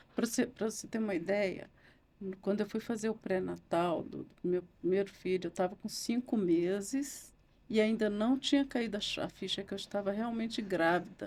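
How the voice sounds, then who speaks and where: A woman with a plain, everyday voice, medium pitch, ordinary pitch variation and a moderate pace. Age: 60s. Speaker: lawyer and writer. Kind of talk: interview testimony.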